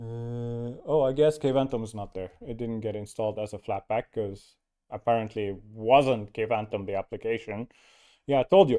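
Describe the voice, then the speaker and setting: Over a quiet background, a man with a dark, mellow tone and medium pitch speaks at a moderate pace with ordinary pitch variation and big swings in loudness, the sound dry and close with no echo. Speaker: Linux distro developer and live streamer. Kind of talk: live stream tech chat and tutorial. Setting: live stream with screen share. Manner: mumbling; halting, many fillers.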